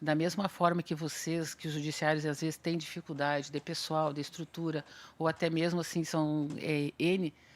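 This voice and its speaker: A woman's very deep, low voice in a monotone, flat intonation. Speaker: consumer protection official, seminar panelist. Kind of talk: seminar panel talk. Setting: auditorium with audience. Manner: fast; conversational, hesitant fillers.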